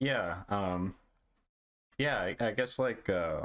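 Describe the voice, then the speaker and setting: Using lively intonation, a man with an American accent talks at a very slow pace. His pitch is fairly low. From India (Hyderabad), early childhood New Jersey. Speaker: podcast host. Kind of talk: casual interview chat.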